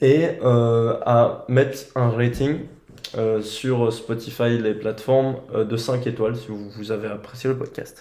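At a very slow pace, a man with a medium pitch and a dark, mellow tone speaks in a monotone, flat intonation, with audible room echo. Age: 20s. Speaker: podcast host. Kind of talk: casual chat.

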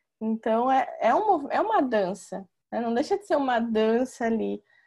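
Speaking at a fairly slow pace, a woman with a fairly high pitch and a dark, mellow tone shows ordinary pitch variation. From São Paulo state, Brazil. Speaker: chiropractor, moderator. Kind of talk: online panel conversation. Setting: video call.

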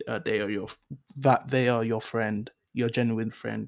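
A man with a London accent speaks at a fairly slow pace in a medium pitch with fairly even intonation. The recording is very clean, with a silent background. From North London, England. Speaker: solo podcast host. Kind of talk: casual solo monologue. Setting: home recording on laptop. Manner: hesitant, many fillers.

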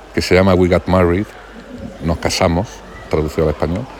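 A man's very deep, low-pitched voice comes through with clear background noise behind it. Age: 40s. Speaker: podcaster. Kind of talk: casual monologue. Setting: outdoors by a pool.

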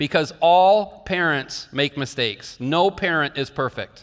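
An ordinary speaking voice belongs to a man with fairly high pitch and an American accent. He talks at a fairly slow pace with ordinary pitch variation. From northeastern Iowa. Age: 50s. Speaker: pastor. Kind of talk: sermon.

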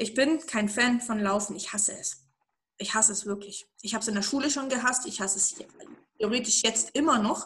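Her tone animated, a woman speaks fairly quickly at a fairly high pitch with ordinary pitch variation. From eastern Germany. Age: 30s. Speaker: interview guest. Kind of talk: interview.

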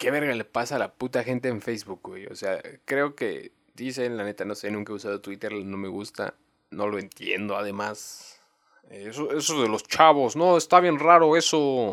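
This man speaks with a Mexican accent at a medium pitch. His intonation is lively and his pace moderate. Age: 20s. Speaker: podcaster. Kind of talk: casual monologue. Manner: halting, many fillers; uneven volume.

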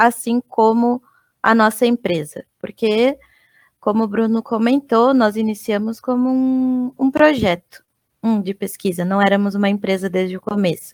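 A woman with an ordinary speaking voice talks at a fairly high pitch with ordinary pitch variation, in a dry, close sound with no echo. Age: 30s. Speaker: UX/UI designer. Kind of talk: casual chat.

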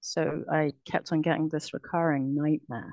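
In a dry, close sound with no echo, a woman with a British accent speaks at a very deep, low pitch. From UK. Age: 40s. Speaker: abuse survivor. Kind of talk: testimony. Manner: halting.

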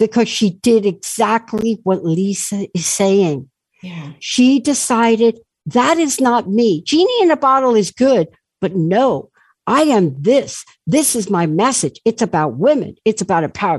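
Woman with an American accent at medium pitch, very wide pitch swings and a moderate pace, in a dry, close sound with no echo. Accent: sounds like New York, per a listener. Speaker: talk radio host. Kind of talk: talk radio interview. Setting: studio, radio show with video. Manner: animated.

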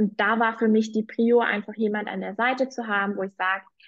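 An ordinary speaking voice from a woman, fairly high in pitch, with fairly even intonation. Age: 20s. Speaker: political coach, former party worker. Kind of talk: testimony.

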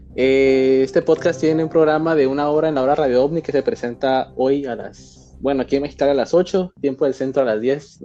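A man at a fairly high pitch and fairly quick pace, hardly any pauses, music in the background. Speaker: podcast host. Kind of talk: casual chat.

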